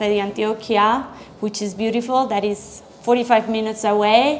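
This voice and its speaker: A woman speaks with a Colombian accent in a monotone, flat intonation. Noticeable background noise is present. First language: Spanish. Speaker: chef and restaurant owner. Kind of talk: interview.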